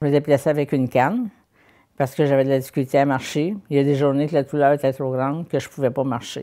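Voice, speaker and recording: A woman speaks at a very fast pace in a very deep, low pitch, her tone dark and mellow with fairly even intonation. The recording is very clean with a silent background. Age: 70s. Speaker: health service user. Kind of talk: testimony.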